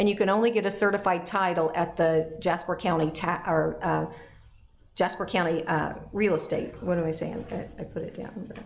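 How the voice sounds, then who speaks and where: A woman speaks with a fairly low pitch and fairly even intonation. Audible room echo surrounds her voice. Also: moderate pace. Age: 60s. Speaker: city council member. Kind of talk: council meeting report. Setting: council chamber meeting.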